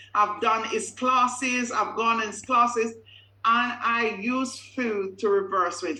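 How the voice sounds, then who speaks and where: Speaking fairly slowly with a Caribbean accent, a woman uses a fairly high pitch and ordinary pitch variation. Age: 50s. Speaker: customer giving a testimonial. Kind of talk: testimony.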